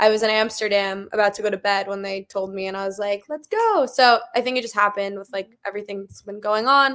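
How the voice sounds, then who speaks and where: A woman speaks in an ordinary speaking voice with an American accent, her pitch medium. She goes at a fairly quick pace with hardly any pauses, fairly even intonation and big swings in loudness. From US West Coast, Los Angeles. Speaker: pop singer. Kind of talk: interview.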